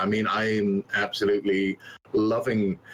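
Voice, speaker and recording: Noticeable background noise is present. A man speaks with very wide pitch swings. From England, West Midlands. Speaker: game streamer. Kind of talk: casual interview chat.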